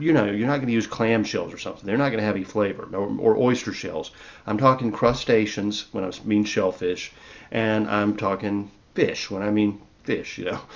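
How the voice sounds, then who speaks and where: Speaking in a Southern US accent, the man has a fairly low pitch, a relaxed tone, fairly even intonation and a moderate pace. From US South. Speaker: herbalist and podcast host. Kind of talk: casual cooking talk. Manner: relaxed, conversational with fillers. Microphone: new microphone.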